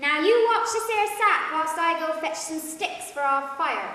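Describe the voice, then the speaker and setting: Through a strong echo, a woman speaks in a put-on character voice. Her pitch is extremely high. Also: moderate pace. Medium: stage play. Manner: coarse, folksy.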